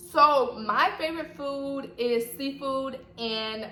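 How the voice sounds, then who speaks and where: A woman speaks in an animated tone with a slight Southern US accent. Noticeable background noise and audible room echo fill the recording. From US South, Atlanta, Georgia. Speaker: YouTuber. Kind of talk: casual vlog chat.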